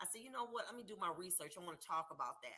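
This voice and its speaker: Loud and bright with a sharp tone, a woman's voice shows ordinary pitch variation. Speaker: livestream host. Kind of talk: live stream chat with viewers. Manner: animated.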